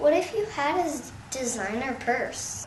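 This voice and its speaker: A put-on character voice at a high pitch comes through clear background noise. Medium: comedy sketch. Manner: chatty, teasing.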